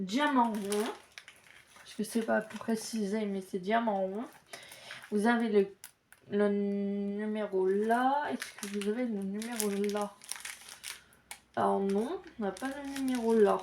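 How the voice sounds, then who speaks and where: Amid noticeable background noise, a woman speaks very slowly at a fairly high pitch, with fairly even intonation, big swings in loudness and long, frequent pauses. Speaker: crafts YouTuber. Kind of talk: casual unboxing video.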